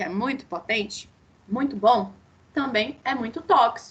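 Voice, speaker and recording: A woman's voice with noticeable background noise. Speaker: dentistry lecturer. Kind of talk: online lecture.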